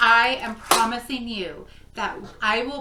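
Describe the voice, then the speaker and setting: A woman with a fairly high pitch speaks in an animated tone. Audible room echo and noticeable background noise surround her voice. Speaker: crafting vlogger. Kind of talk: casual vlog talk. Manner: loud. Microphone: no microphone, camera mic.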